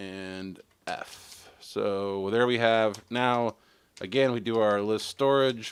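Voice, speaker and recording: In a normal speaking voice, this man holds a medium pitch that shifts in an ordinary way. The audio is very clean, and the background is silent. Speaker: tech live streamer. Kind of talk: live tutorial. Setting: live stream.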